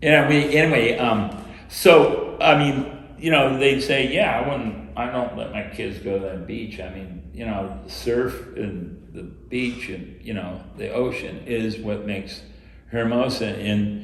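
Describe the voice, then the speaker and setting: A man's medium-pitched voice with lively intonation, big swings in loudness and a fairly slow pace, amid noticeable background noise and audible room echo. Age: 60s. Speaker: former city council member. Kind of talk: panel discussion. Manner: animated; hesitant, filler-heavy.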